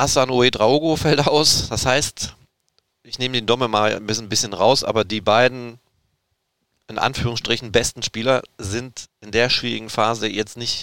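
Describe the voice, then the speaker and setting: Man's bright, sharp voice at medium pitch, fairly slow pace, ordinary pitch variation. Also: very clean recording, silent background. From Erzgebirge region, Saxony. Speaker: football podcast host. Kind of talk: casual chat.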